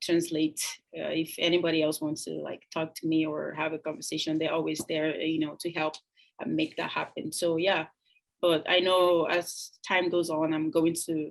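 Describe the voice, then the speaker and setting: A woman with a very deep, low pitch speaks at a moderate pace. Her intonation is flat and monotone, with vocal fry. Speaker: professional footballer. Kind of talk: interview. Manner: hesitant, many fillers.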